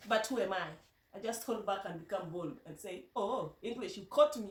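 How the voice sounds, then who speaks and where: A woman with a Kenyan accent speaks with lively intonation amid audible room echo. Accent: Kenyan Luo. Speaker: vlogger. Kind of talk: casual vlog talk. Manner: halting, many repetitions.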